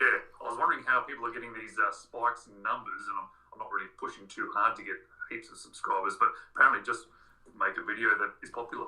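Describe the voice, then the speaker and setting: With an Australian accent, a man talks at a very fast pace, his loudness swinging widely. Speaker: watch YouTuber. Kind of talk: casual chat.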